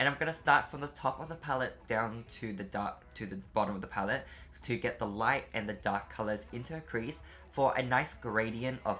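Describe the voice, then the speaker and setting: A moderately paced man with an unremarkable speaking voice. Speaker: beauty youtuber. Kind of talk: makeup tutorial voiceover.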